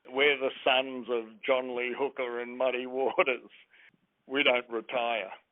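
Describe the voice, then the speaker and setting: Monotone and flat, a man with an Australian accent talks at a medium pitch. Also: fairly slow pace. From Australia, Brisbane. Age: 70s. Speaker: blues musician. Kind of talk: interview.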